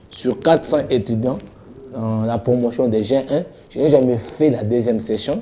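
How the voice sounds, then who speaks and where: A normal speaking voice moves at a fairly slow pace with ordinary pitch variation. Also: man, medium pitch for a man. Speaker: pastor. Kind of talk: interview.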